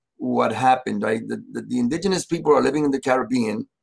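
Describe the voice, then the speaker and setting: A man talks at a fairly quick pace with lively intonation. Vocal fry runs through his voice. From Dominican Republic, raised in US from age five. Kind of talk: interview. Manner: halting, many fillers.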